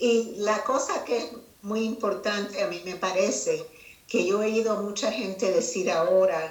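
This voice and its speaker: In a space with audible room echo and noticeable background noise, a woman of medium pitch speaks at a fairly slow pace. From Cuba. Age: 70s. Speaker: retired judge and children's author. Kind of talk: interview.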